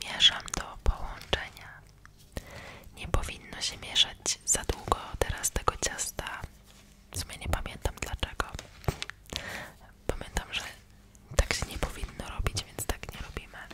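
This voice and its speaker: A woman whispers at a fairly slow pace, leaving long, frequent pauses. Her loudness swings widely against noticeable background noise. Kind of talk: ASMR baking video, close whisper. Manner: whispered, soft-spoken.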